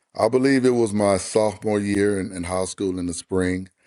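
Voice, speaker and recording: At a moderate pace, a man with a West Texas accent speaks in a dark, mellow tone over a quiet background. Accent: West Texas Southern US. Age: 60s. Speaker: former quarterback and basketball coach. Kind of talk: podcast interview.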